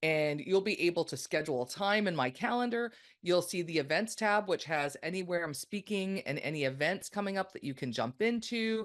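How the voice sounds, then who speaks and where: A woman with a Canadian accent, medium pitch, moderate pace, lively intonation, and a plain, everyday voice. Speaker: podcast guest, consultant.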